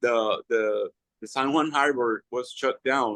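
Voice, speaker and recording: Sounding dry and close with no echo, a man of medium pitch talks at a fairly slow pace with a Spanish accent. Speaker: political party leader and candidate. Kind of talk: panel discussion.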